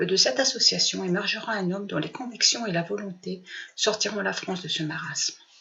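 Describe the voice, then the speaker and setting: Over noticeable background noise, a woman at a medium pitch talks at a fairly quick pace. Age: 60s. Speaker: retired political activist. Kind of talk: prepared personal statement.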